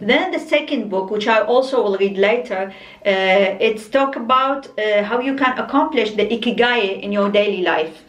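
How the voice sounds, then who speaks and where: A woman with an Arabic accent speaks at a moderate pace. Noticeable background noise and audible room echo are present. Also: ordinary pitch variation, hardly any pauses. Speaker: book vlogger. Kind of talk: casual book review monologue. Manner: halting, many fillers and restarts.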